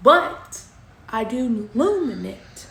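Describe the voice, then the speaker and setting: A woman's high voice with an American accent, with noticeable background noise and audible room echo. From Kentucky. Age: 20s. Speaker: crafter and small business owner. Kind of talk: casual vlog self-introduction.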